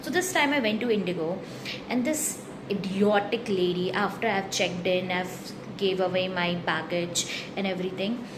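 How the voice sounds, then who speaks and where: Noticeable background noise is present along with audible room echo. Through it, a woman speaks. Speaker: vlogger. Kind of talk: casual monologue vlog. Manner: rambling, casual; animated.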